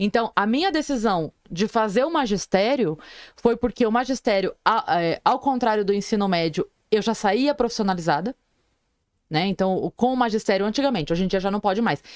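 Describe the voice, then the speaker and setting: In a dry, close sound with no echo, a woman speaks in a normal speaking voice, fairly high in pitch, with lively intonation. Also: moderate pace. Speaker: comedian. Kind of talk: casual chat.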